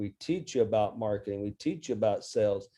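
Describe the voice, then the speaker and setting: This man's tone is dark and mellow. The background is quiet. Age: 60s. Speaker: business coach and author. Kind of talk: interview.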